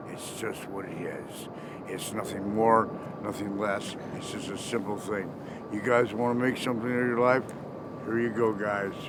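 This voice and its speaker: The speech moves at a moderate pace, with monotone, flat intonation and long, frequent pauses. Noticeable background noise and audible room echo come through. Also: man, fairly low pitch for a man. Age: 50s. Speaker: former special ed teacher and musician. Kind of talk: street interview, casual chat.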